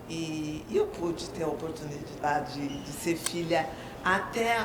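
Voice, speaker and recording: A woman with lively intonation speaks at a fairly slow pace, with noticeable background noise and audible room echo. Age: 60s. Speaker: retired teacher and writer. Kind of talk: personal testimony.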